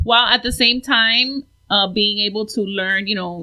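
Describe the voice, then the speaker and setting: With an American accent, a woman at a fairly high pitch talks at a moderate pace. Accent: Miami Cuban American English. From Miami, South Florida, Cuban American. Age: 40s. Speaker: painter, artist. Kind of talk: casual chat.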